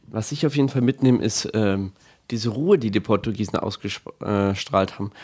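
Speaking fairly quickly at a medium pitch, the man has an unremarkable speaking voice. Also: ordinary pitch variation. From Bavaria, Bad Tölz. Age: 20s. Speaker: altar server, incoming teacher-training student. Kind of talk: casual interview.

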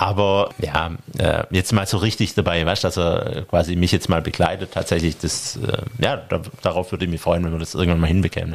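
Noticeable background noise is present. A man rushes along at a very fast pace. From Stuttgart, Germany. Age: 40s. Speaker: sports referee and tax advisor. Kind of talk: interview.

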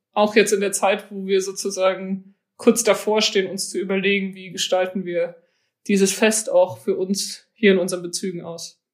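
A woman with a plain, everyday voice speaks at a medium pitch and a fairly slow pace, her intonation fairly even. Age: 20s. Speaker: church synod president. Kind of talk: interview. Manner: casual, many filler words.

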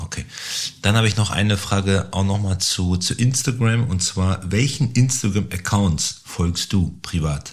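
A man's somewhat breathy voice, fairly low in pitch, at a fairly slow pace with ordinary pitch variation. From Bielefeld, Germany. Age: 40s. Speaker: agency founder. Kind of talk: casual interview. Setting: studio.

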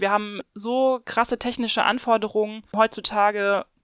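A woman's fairly high, monotone voice with flat intonation. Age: 30s. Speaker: PhD researcher in physics education. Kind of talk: interview.

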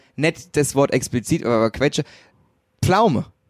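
A man's fairly high voice at a fairly slow pace, very cleanly recorded with a silent background and a dry, close sound with no echo. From Hesse, Wetterau. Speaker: graphic designer. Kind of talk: casual chat.

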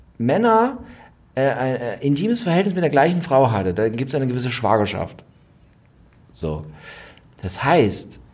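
Speaking at a moderate pace with a medium pitch, a man makes very wide pitch swings. He leaves long, frequent pauses, and room echo is audible. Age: 40s. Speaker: royal expert podcast co-host. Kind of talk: casual chat.

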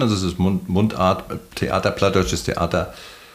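This man has an unremarkable speaking voice, fairly low in pitch. He talks at a moderate pace. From Mecklenburg, northeastern Germany. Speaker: harbour master and former sea captain. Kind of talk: casual interview. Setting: outdoors at the beach.

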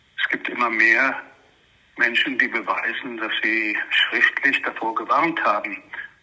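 A man at a very slow pace, with noticeable background noise. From Israel, Jerusalem. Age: 70s. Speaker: historian and journalist. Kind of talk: interview. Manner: halting, many fillers.

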